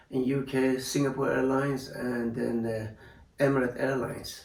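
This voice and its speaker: Speaking at a moderate pace, a man keeps a medium pitch and fairly even intonation. Noticeable background noise and audible room echo surround him. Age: 60s. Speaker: retired airline pilot. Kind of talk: interview testimony. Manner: halting, many fillers.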